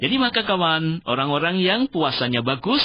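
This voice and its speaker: Very wide pitch swings run through the speech of a man. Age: 60s. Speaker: Islamic preacher. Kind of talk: religious talk on radio. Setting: radio studio.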